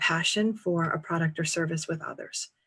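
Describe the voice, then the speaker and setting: A woman speaks with a New England accent at a fairly low pitch. Her voice is somewhat breathy. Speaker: career and transition coach. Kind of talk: interview conversation.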